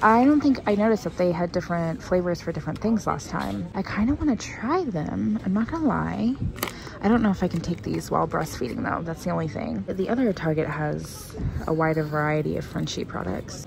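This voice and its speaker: A woman speaks at a fairly quick pace. The sound is dry with no echo, but noticeable background noise is present. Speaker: shopper vlogger. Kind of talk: casual vlog chat. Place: shop.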